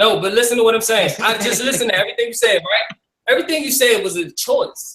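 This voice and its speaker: A man speaks very fast at an extremely high pitch. His voice is raised and projected, with an animated tone. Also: ordinary pitch variation. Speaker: talk show host. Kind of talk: heated debate. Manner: loud.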